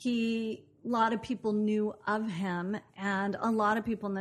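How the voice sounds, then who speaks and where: A woman with an American accent has an unremarkable speaking voice, medium in pitch with fairly even intonation, over a quiet background. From US Pacific Northwest, Portland, Oregon. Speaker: actress and producer. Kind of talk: interview conversation.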